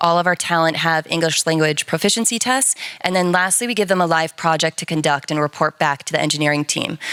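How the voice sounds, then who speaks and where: A woman with a very deep, low pitch and an American accent, fairly quick in pace, dry and close with no echo, amid noticeable background noise. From United States. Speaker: enterprise account lead at a freelance platform. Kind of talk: panel discussion.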